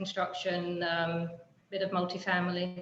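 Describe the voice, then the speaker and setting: In a London accent, a woman speaks at a medium pitch, fairly slow, with monotone, flat intonation. Audible room echo and noticeable background noise are present. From England, London. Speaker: real estate developer and builder. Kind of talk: panel discussion. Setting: video call. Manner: halting, many fillers.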